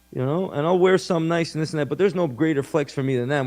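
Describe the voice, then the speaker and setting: With an animated tone and ordinary pitch variation, a man speaks over a quiet background. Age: 30s. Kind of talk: interview.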